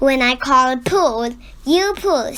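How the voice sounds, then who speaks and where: Shouting in a put-on character voice, a woman uses a high pitch and lively intonation. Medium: read story. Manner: bossy, shouting.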